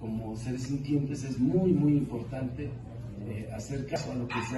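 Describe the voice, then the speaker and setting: A man speaks at a moderate pace. There is audible room echo and noticeable background noise. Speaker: politician at a press conference. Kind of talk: press statement. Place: hall. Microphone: camera far.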